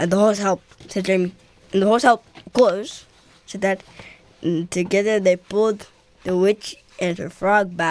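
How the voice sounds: This is a natural reading voice. The intonation stays fairly even.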